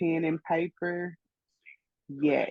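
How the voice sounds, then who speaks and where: This woman has a St. Louis accent and a fairly low pitch. Her pitch varies in an ordinary way. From St. Louis, Missouri. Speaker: graphic artist. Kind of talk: interview. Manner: casual, many fillers.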